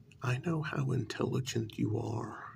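The voice is soft-spoken with a soothing tone over light background noise. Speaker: role-play narrator. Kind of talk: scripted role-play monologue. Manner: soft, soothing ASMR speaking.

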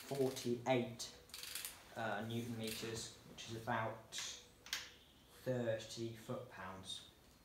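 A man speaks at a very slow pace in a monotone, flat intonation. Audible room echo and noticeable background noise are present. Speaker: home mechanic restoring a tractor. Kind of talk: tutorial. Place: workshop. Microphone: phone near.

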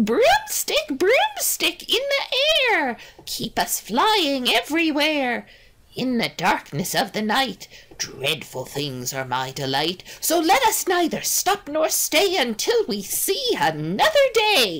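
A put-on character voice, female-sounding and high-pitched for a woman, at a fairly slow pace. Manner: muttering, incantation.

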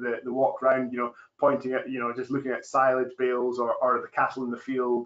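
Against a quiet background, a man speaks with a Scottish accent in a monotone, flat intonation. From Scotland, East Fife. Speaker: farmer. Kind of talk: webinar panel discussion. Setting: online webinar. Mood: relaxed, friendly. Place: office. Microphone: video call.

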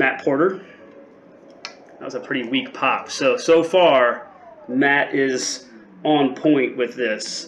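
A man's very slow speech with ordinary pitch variation over light background noise. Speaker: spirits reviewer. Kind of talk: casual review vlog chat. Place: home room.

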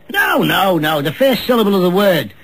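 A man's voice with lively intonation. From Liverpool, England. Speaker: radio quiz show host. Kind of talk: radio quiz show banter. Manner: teasing, increasingly exasperated. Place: studio.

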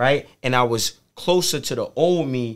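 Against a quiet background, a man with an American accent speaks at a fairly slow pace with ordinary pitch variation. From New York City (Harlem); New York. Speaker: motivational speaker. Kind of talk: casual interview. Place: studio. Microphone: studio mic.

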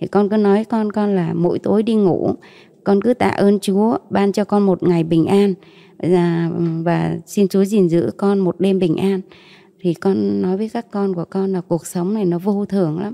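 A woman's dark, mellow tone at a fairly slow pace, fairly even intonation, quiet background. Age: 40s. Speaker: mother giving faith testimony; interview guest. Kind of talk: testimony. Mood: calm, earnest faith testimony. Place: studio. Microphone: handheld.

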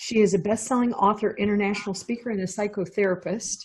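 The woman's delivery is somewhat breathy, with fairly even intonation. The background is quiet. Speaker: podcast host. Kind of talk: show introduction. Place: home room. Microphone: earbuds.

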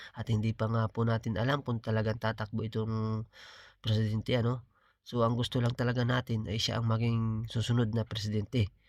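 In a dry, close recording with no echo, a man speaks at a fairly quick pace with monotone, flat intonation. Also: medium pitch for a man. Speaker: political vlogger. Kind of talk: political commentary monologue. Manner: halting, with filler pauses.

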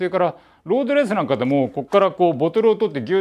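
A high-pitched man at a very fast pace, against a quiet background. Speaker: presenter. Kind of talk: casual tutorial talk. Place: workshop. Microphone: lapel.

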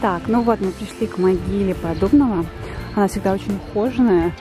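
A woman talks at a moderate pace. Music plays clearly in the background. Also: dry sound with no echo. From Yeysk, southern Russia. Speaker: Russian language teacher, vlogger. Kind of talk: casual vlog talk to camera. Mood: relaxed, a bit hot. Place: garden. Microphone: phone near.

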